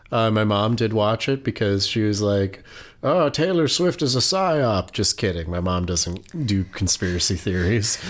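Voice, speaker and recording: An unremarkable speaking voice with an American accent, lively intonation and very even loudness at a fairly slow pace, on a very clean recording with a silent background. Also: man, fairly low pitch for a man. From Oregon. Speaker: podcast co-host. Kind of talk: true crime storytelling, casual chat.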